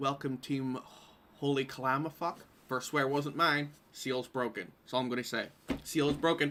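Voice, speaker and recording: A man with a Northern Irish accent, fairly high pitch and a bright, sharp tone, fairly even intonation, moderate pace, very clean recording with a silent background. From Northern Ireland, Derry. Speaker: quiz host. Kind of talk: live-streamed pub quiz.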